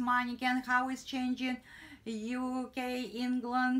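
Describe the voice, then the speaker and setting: A high-pitched woman's voice with a non-native accent. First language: not English. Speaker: tailor and sewing teacher. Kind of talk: tutorial. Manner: halting broken English.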